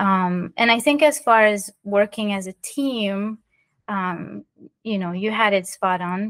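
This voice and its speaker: Very slowly and with ordinary pitch variation, a woman speaks over a quiet background. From France (Paris), moved to South Florida as teen. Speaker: artist and magazine co-founder. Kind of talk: interview.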